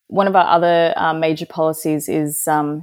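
This woman, in an Australian accent, keeps a moderate tempo and a fairly low pitch. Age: 30s. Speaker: political candidate. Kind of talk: interview.

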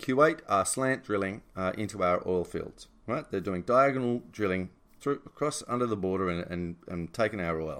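Delivered at a moderate pace, an ordinary speaking voice carries lively intonation. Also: man. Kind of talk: angry rant. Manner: heated, indignant, fired up; rambling, unpolished, long-winded.

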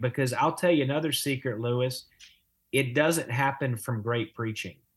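With a somewhat breathy, fairly high voice and ordinary pitch variation, a man talks at a moderate pace. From Louisiana. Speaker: pastor and author. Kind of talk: casual interview on theology.

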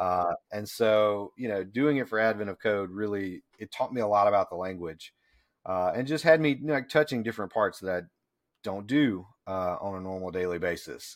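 With an American accent and a plain, everyday voice, a man speaks at a moderate pace and a fairly low pitch. Pitch variation is ordinary, on a very clean recording with a silent background. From US South. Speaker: IT consultant. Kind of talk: casual chat.

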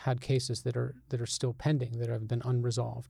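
A man speaks in a somewhat breathy, dark, mellow tone with monotone, flat intonation. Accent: American. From Albany, New York. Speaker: journalist. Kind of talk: interview conversation.

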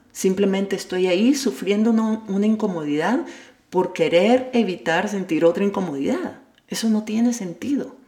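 Noticeable background noise sits behind a woman who speaks at a moderate pace in a medium pitch with lively intonation. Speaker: personal development podcaster. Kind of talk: self-help monologue.

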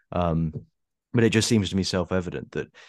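Against a quiet background, a man speaks with an Essex accent. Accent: southern English, Essex. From Essex, England. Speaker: anonymous writer and YouTuber. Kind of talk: casual interview conversation. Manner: hesitant, repeats words.

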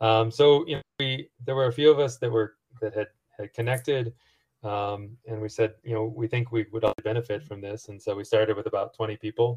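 A man at medium pitch, somewhat breathy and fairly quick, with fairly even intonation, big swings in loudness, and a dry, close sound with no echo against a quiet background. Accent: American. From US Midwest, rural Missouri. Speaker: entrepreneur and angel investor. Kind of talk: interview. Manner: halting, with many repetitions and fillers.

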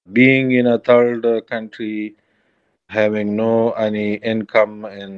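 A man speaks with an Afghan accent. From Afghanistan. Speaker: Afghan man seeking refuge. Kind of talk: interview. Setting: encrypted call from undisclosed location. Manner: halting.

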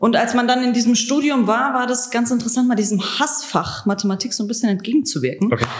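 Noticeable background noise surrounds a woman with a high pitch. She speaks fairly quickly with ordinary pitch variation. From Germany, Hesse (Frankfurt area), Croatian family. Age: 20s. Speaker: trainee teacher. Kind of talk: interview.

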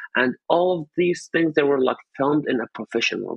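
A man with an Arabic accent at a moderate pace, with ordinary pitch variation. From Syria, Raqqa. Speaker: journalist, activist. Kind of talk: interview testimony.

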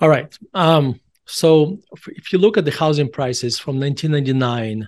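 With a Russian accent, the speaker talks at a moderate pace with ordinary pitch variation against a quiet background. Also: man. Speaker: author and value investor. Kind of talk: casual interview.

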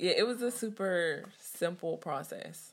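A woman with a Californian accent on a very clean recording with a silent background. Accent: Californian American English. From US West Coast (Richmond, California). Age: 20s. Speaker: school bus driver. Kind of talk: personal testimony interview.

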